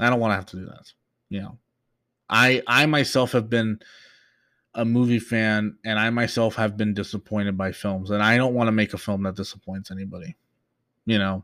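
With a bright, sharp tone and fairly low pitch, a man moves at a fairly quick pace yet leaves long, frequent pauses, his intonation fairly even and his loudness swinging widely, in a very clean recording with a silent background. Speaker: podcast host, geek culture commentator. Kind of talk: casual solo podcast, news recap. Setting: fan running in background noise. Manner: rambling, filler words, stutters.

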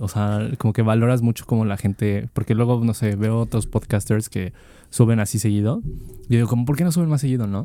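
A man with a Mexican accent speaks in a dark, mellow tone. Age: 20s. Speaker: student podcast co-host. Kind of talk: casual chat.

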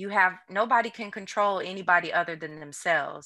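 Speaking in an American accent, a woman keeps a moderate pace. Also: very clean recording, silent background. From US Midwest. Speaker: trauma psychiatrist. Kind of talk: casual interview chat. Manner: calm, reassuring.

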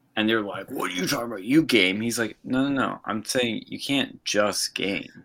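This man has a plain, everyday voice at a medium pitch, talking at a moderate pace with ordinary pitch variation and hardly any pauses. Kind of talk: casual banter. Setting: video call.

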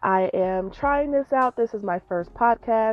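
Pitched fairly high, a woman talks at a moderate speed in an unremarkable speaking voice. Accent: American. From Colorado, Denver. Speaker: small business owner and podcaster. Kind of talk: casual monologue. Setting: in a parked car.

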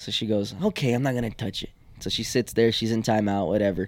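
A man with an American accent speaks at a fairly quick pace in a very clean recording with a silent background. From Houston, Texas. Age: 20s. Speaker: comedian. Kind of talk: casual chat.

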